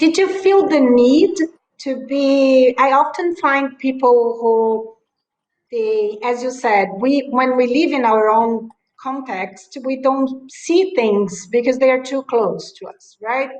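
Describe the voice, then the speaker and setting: A woman's high-pitched voice with a Latin American accent, very slow, with lively intonation and big swings in loudness. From Brazil. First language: Portuguese. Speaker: journalist interviewer. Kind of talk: casual chat.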